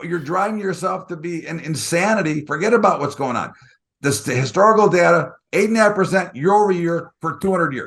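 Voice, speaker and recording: This man has a high pitch. He talks at a fairly quick pace with ordinary pitch variation. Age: 60s. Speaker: market strategist. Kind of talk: interview.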